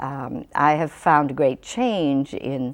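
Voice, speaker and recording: This woman's voice sits very deep and low, with lively intonation. She talks at a very slow pace. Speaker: puppeteer. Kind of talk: interview answer.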